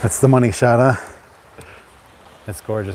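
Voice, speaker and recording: Medium pitch and fairly even intonation from a man, with noticeable background noise. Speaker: YouTuber live-streaming. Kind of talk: casual live stream chat. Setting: outdoors at the beach. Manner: soft-spoken; halting.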